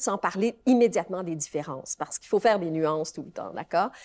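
A woman at a very fast pace with lively intonation, in a dry, close sound with no echo. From Quebec. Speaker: law professor. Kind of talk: interview. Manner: halting.

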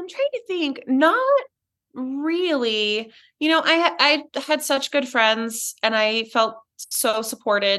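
Over a quiet background, a woman in a raised, projected voice speaks at a very slow pace and high pitch, her tone bright and sharp and her intonation lively. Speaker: breast cancer survivor and ceramic artist. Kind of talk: casual interview chat.

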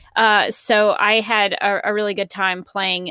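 In a Southern US accent, a woman speaks in a bright, sharp tone, the sound dry and close with no echo and the background quiet. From Alabama, US South. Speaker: voice actor, former TV news worker. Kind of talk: casual chat.

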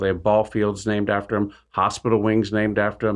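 This man has a plain, everyday voice with an American accent and a fairly low pitch. He talks at a fairly quick pace over a quiet background. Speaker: businessman, former car dealer. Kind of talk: radio interview.

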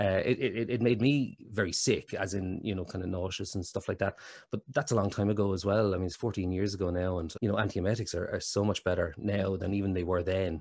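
In an Irish accent, a man with a fairly low pitch talks at a very fast pace with fairly even intonation, in a very clean recording with a silent background. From Ireland. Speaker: actor and lymphoma survivor. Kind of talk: casual interview chat. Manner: hesitant, repeats words.

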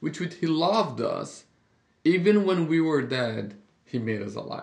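With vocal fry and lively intonation, a man speaks at a fairly high pitch and a fairly slow pace. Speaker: pastor. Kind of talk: casual podcast Bible discussion.

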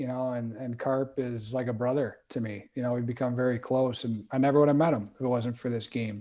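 In an American accent, a man speaks at medium pitch with monotone, flat intonation. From Wisconsin. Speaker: hockey player development director. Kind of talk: casual interview.

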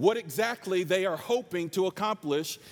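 On a very clean recording with a silent background, a man speaks loud at a high pitch with ordinary pitch variation. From North Carolina. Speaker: preacher. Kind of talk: sermon. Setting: stage with audience. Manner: animated.

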